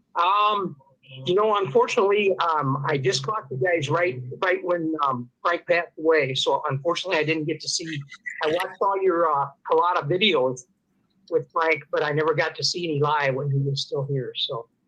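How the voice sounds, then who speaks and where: A man's fairly high, bright and sharp voice with a Midwestern American accent, at a moderate pace with ordinary pitch variation. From northern Illinois (Dixon). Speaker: caller, retired probation officer. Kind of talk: casual chat.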